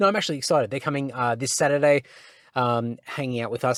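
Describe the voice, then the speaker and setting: The recording is very clean with a silent background as a man speaks in an Australian accent. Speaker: podcast host. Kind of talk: casual solo podcast chat. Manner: slurring; hesitant, many fillers.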